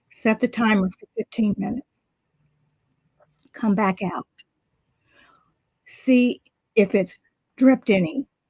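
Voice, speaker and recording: A woman's fairly high, somewhat breathy voice with a dark, mellow tone, ordinary pitch variation and a fairly slow pace, in a dry, close sound with no echo. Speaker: art instructor. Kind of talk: tutorial. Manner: casual, chatty.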